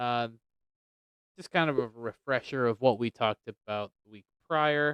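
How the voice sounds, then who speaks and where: Soft-spoken and at medium pitch, a man talks at a moderate pace with fairly even intonation in a dry, close sound with no echo. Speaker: podcast co-host. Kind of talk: casual chat about Bible topics.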